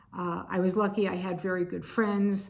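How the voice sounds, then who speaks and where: A woman speaks at a moderate pace in a flat monotone. Her fairly low voice carries audible room echo. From Connecticut, US. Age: 60s. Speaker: video blogger. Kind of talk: personal testimony.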